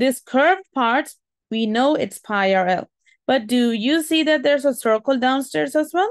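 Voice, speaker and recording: A woman's high-pitched voice with a non-native accent, lively intonation, very even loudness, a moderate pace and a dry, close sound with no echo. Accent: non-native English pronunciation. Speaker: maths teacher. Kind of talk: tutorial.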